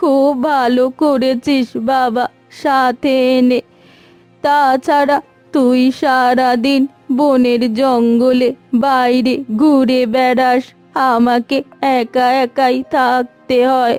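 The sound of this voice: A woman does a cartoonish character voice at a high pitch, monotone and flat. She goes at a very slow pace over faint background music.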